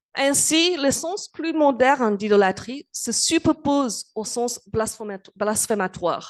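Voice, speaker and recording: A woman's very slow, lively-intoned voice, dry and close with no echo, against a quiet background. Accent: non-native. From England. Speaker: university lecturer. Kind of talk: lecture. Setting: conference with audience. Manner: halting, many hesitations.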